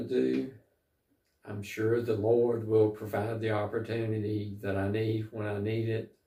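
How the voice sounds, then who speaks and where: At a fairly slow pace, a man with an American accent speaks in a fairly low, somewhat breathy voice with a dark, mellow tone and ordinary pitch variation. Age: 60s. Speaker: travel vlogger. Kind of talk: casual vlog monologue. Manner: halting, many fillers.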